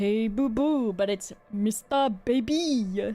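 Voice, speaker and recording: A female-sounding voice puts on a character voice with a fairly high pitch. The pace is very slow. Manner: cartoonish, jokey.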